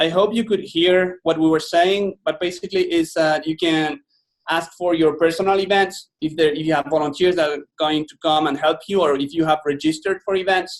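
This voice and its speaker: A man with a Spanish accent speaks at a high pitch. His intonation is fairly even and his pace fairly quick. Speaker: software presenter. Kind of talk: product demo.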